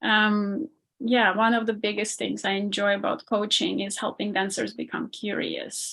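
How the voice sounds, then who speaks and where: The speaker talks with an Armenian accent at a moderate pace. The intonation stays fairly even. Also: woman, medium pitch for a woman. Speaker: ballet dancer and performance coach. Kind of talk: podcast interview.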